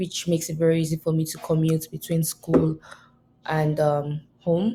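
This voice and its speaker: This woman's voice is somewhat breathy, with a dark, mellow tone and a very deep, low pitch. She talks at a moderate pace. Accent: Nigerian. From Nigeria, southwest (Yoruba, Lagos). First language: Yoruba. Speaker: college student. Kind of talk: class oral presentation. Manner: halting, many fillers.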